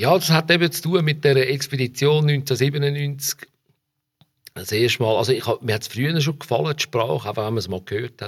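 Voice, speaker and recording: A man talks at a fairly quick pace in a Zurich accent. His medium-pitched voice is somewhat breathy, with ordinary pitch variation. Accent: local Dietikon Swiss German. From Switzerland, Dietikon near Zurich. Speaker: journalist and musician. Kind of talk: casual interview.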